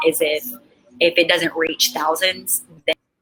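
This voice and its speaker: A woman with a Southern US accent, fairly low in pitch, at a moderate pace. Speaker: author and coach. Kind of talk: interview answer.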